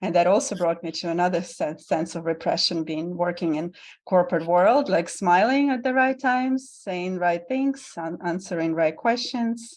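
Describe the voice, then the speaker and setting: The speaker has a Russian accent and lively intonation, going at a moderate pace with hardly any pauses. The background is quiet. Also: woman, fairly low pitch for a woman. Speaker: vulnerability guide and tantric bodyworker. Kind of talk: podcast interview.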